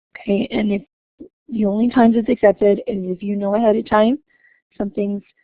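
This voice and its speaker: A woman's fairly high-pitched voice at a fairly quick pace. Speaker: university instructor. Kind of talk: online class webinar. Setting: online webinar session. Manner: fast; hesitant with fillers.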